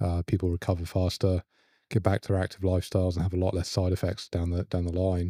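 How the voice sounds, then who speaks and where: In a very clean recording with a silent background and a dry, close sound with no echo, a man with an English accent speaks in a very deep, dark, mellow voice with monotone, flat intonation. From England, London. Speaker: spine surgeon. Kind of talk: podcast interview.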